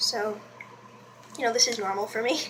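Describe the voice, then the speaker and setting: A woman speaks fairly quickly as noticeable background noise carries on around her. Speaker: beauty vlogger. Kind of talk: makeup tutorial. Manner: casual, chatty; quiet while doing liner.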